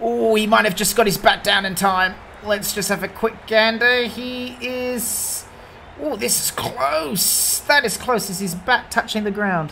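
A woman with a fairly high pitch and ordinary pitch variation speaks at a fairly slow pace over noticeable background noise. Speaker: sports commentator. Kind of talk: live sports commentary. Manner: animated.

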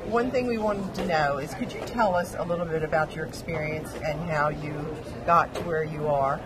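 There is noticeable background noise as a woman speaks. Her pace is moderate. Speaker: biotech executive interviewer. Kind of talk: conference interview. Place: hall. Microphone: handheld.

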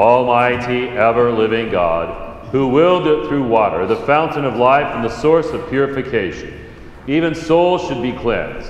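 The speech moves at a moderate pace. Audible room echo and light background noise surround it. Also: man. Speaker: priest. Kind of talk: liturgical prayer. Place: church.

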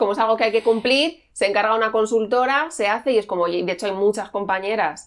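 The delivery comes at a very fast pace with hardly any pauses and ordinary pitch variation, set against a quiet background. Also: woman, fairly high pitch for a woman. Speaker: journalist and author; journalist. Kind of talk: interview conversation. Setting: at her home. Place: home room. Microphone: lapel.

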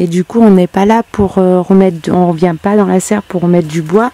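With ordinary pitch variation and a dark, mellow tone, a woman's voice comes through dry, with no echo. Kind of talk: casual vlog chat. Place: garden. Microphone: phone near.

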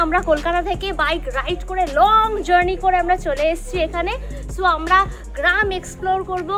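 A woman's extremely high voice with ordinary pitch variation, clear music playing in the background. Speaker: travel vlogger. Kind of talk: casual vlog chat. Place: street. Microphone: lapel.

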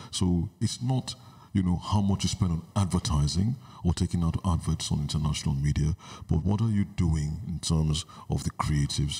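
A man with a very deep, low pitch and a dark, mellow tone speaks somewhat breathily at a moderate pace, with ordinary pitch variation and very even loudness. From Nigeria (Igbo). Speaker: visual artist and gallery director. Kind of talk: interview. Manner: hesitant, with fillers.

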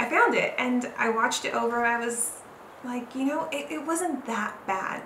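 Her voice fairly high and fairly bright, a woman with a Southern Californian accent speaks at a fairly slow pace with ordinary pitch variation amid audible room echo.

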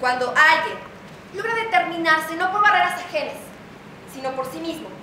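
A woman's raised, projected voice at a moderate pace, with noticeable background noise and audible room echo. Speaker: stage actress. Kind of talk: theatrical monologue. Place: stage. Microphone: camera far.

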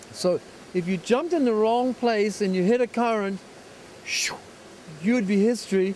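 A man at a moderate pace with lively intonation over light background noise. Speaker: interviewee, actor. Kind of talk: interview answer. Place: forest. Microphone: handheld.

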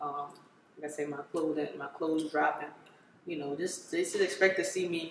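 A woman with an American accent talks at a fairly quick pace, her pitch very deep and low, with fairly even intonation. Long, frequent pauses break her speech, and there is light background noise and audible room echo. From Maryland, Prince George's County; Maryland. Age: 20s. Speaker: rapper; interviewee. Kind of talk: interview. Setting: studio. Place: home room.

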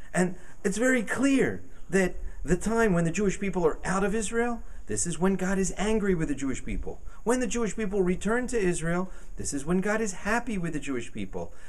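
Lively intonation marks this man's voice. He keeps a moderate pace. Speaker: rabbi. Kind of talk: interview answer. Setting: outdoors. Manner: soft-spoken. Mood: earnest, animated persuasion.

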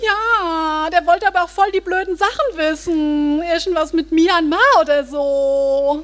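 Speaking at a very slow pace, a woman uses an extremely high pitch. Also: ordinary pitch variation. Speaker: stage reader performing a character. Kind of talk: comic scripted reading in teen slang. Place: stage. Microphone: studio mic.

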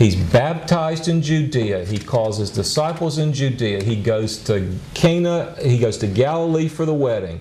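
The voice moves very slowly with very wide pitch swings over light background noise. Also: man, medium pitch for a man. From USA. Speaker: pastor and Bible lecturer; Bible teacher. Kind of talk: lecture. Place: classroom. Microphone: lapel.

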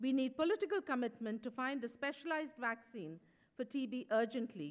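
A woman talks at a fairly quick pace against a quiet background. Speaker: speaker. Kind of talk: conference speech. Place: hall. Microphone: podium.

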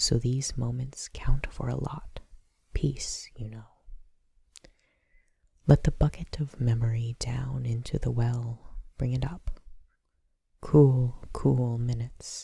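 Soft-spoken delivery at a very slow pace, broken by long, frequent pauses. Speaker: ASMR poetry reader. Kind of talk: poetry reading.

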